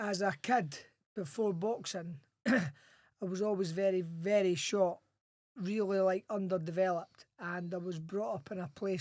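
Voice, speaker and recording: With a strong Scottish accent, a man speaks at a moderate pace in a high pitch, his intonation fairly even. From Scotland, Edinburgh. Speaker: former boxer and Royal Marine. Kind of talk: podcast interview.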